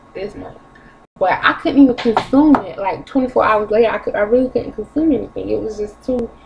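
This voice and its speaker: Against noticeable background noise, a woman talks at a fairly quick pace. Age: 20s. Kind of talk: casual talk to camera. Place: kitchen. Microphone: webcam.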